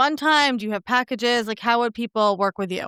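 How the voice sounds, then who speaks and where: In an American accent, a woman speaks with a bright, sharp tone. The sound is dry and close, with no echo. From New York. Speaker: podcast host. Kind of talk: interview.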